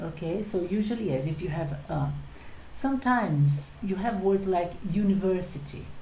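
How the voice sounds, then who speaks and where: Speaking at a moderate pace, a woman with a Portuguese accent uses lively intonation at a medium pitch. Noticeable background noise and audible room echo are present. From Brazil. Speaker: English teacher. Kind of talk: tutorial.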